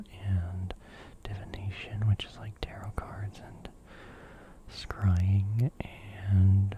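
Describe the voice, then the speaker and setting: Someone whispers at a very slow pace with long, frequent pauses, over noticeable background noise. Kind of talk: ASMR casual chat. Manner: whispered.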